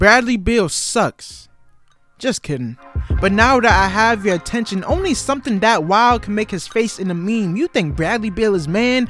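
Music plays in the background while the speech unfolds at a moderate pace. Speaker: spoken word poet. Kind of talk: spoken word poetry over sports highlights.

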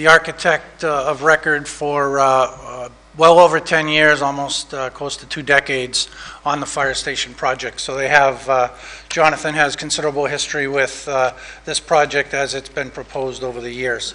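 A man speaks at a moderate pace. His intonation is monotone and flat. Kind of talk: public presentation. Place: hall. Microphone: podium.

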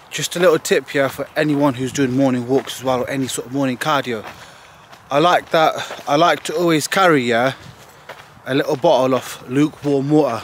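A man's fairly high voice at a fairly quick pace amid noticeable background noise. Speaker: bodybuilder vlogger. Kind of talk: casual vlog monologue. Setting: outdoors on morning walk. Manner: casual, profane, energetic.

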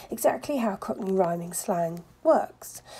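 A dark, mellow, somewhat breathy voice speaks at a fairly slow pace. Its pitch swings very widely. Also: woman. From South London. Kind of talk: language lesson to camera.

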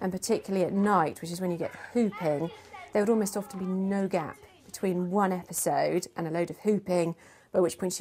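A woman speaks fairly quickly with fairly low pitch. Her tone is dark and mellow, and her intonation fairly even.

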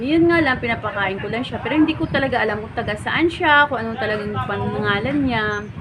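A woman speaks at a fairly quick pace and a fairly high pitch, with lively intonation and hardly any pauses. Audible room echo and noticeable background noise are present. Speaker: vlogger. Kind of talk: casual vlog talk to a stranger and viewers.

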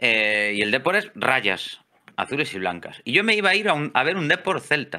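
With a Galician accent, a man speaks at a moderate pace, his pitch swinging very widely. His tone is bright and sharp with vocal fry, over a quiet background. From Galicia, Spain. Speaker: electrician and amateur photographer; interview guest. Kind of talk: casual interview chat; interview answer. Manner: hesitant, many fillers and repeats. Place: home room. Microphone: studio mic.

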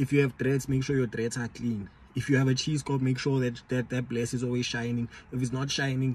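A somewhat breathy man talks at a fairly quick pace, the sound dry with no echo. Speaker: vlogger giving dating advice. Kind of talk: casual vlog chat. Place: car. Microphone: phone near.

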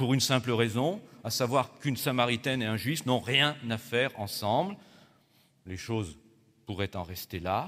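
A man speaks at a medium pitch with lively intonation. His pace is moderate, broken by long, frequent pauses. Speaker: Protestant pastor. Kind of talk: sermon. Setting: church. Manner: formal, didactic. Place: church. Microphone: podium.

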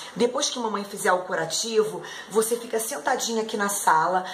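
A woman speaking at a moderate pace. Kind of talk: acted dialogue for a kids' video. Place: home room.

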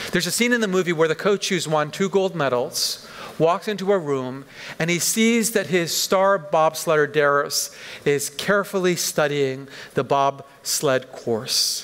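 This man has a Canadian accent and a fairly high pitch, speaking at a fairly slow pace. His loudness stays very even and his pitch varies in an ordinary way. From western Canada, Vancouver. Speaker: pastor. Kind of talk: sermon. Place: church. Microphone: headset.

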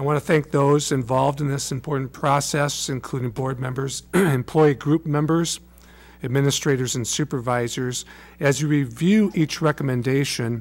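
A man's voice with fairly even intonation at a moderate pace. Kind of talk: formal meeting report. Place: meeting room. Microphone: podium.

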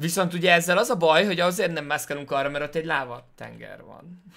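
In a quiet background, a man speaks at a very fast pace with a high pitch. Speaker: gaming streamer. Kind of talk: let's play commentary. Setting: home. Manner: halting.

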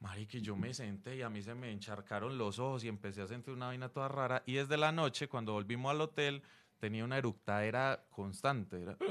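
His pitch moves in an ordinary way. The man talks at a very fast pace. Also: medium pitch for a man. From Colombia. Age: 40s. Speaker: stand-up comedian. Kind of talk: casual interview. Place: studio. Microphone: studio mic.

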